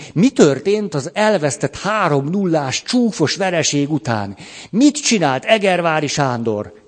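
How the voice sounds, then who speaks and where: At a very slow pace, a man with a fairly high pitch makes very wide pitch swings. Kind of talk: lecture. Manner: animated.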